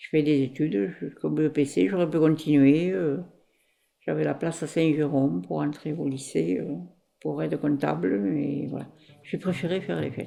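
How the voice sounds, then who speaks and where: A woman's very deep, low voice with a dark, mellow tone, vocal fry, very wide pitch swings and a moderate pace. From France, Ariège. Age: 60s. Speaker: former fairground worker. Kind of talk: life story interview. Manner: halting, many hesitations.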